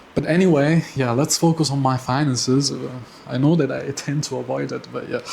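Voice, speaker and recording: A fairly quick pace and fairly even intonation in a non-native accent, with noticeable background noise. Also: man, fairly high pitch for a man. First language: not English. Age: 20s. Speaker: personal finance vlogger. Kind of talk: casual monthly finance update vlog. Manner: halting, with many fillers and repetitions.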